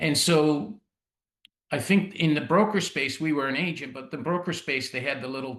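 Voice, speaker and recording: At a moderate pace, a man with a Canadian accent speaks in an unremarkable speaking voice with ordinary pitch variation. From Canada (Ontario, Italian-Canadian community). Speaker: insurance executive. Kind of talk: podcast interview. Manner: casual, with many fillers and restarts.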